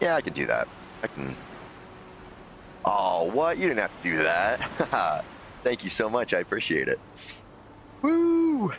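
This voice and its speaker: With long, frequent pauses, a man speaks at a fairly slow pace. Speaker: gaming streamer. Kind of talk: live game stream chat. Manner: louder than usual.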